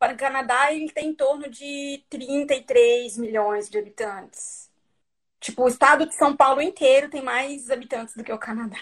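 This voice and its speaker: A high-pitched woman's voice at a moderate pace, with ordinary pitch variation and big swings in loudness. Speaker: Brazilian immigrant in Canada. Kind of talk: casual chat.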